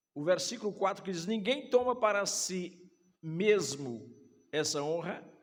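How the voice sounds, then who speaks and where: A man's high-pitched voice at a fairly slow pace, lively intonation, big swings in loudness and audible room echo. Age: 60s. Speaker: pastor. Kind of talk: sermon. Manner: speaks in short phrases for interpreter.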